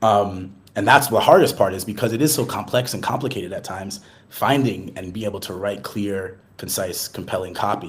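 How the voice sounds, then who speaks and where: Somewhat breathy, a man with an American accent talks at a fairly quick pace and fairly low pitch, with ordinary pitch variation and big swings in loudness. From US, Boston. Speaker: marketing executive. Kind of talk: podcast interview. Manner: fast, many fillers and false starts.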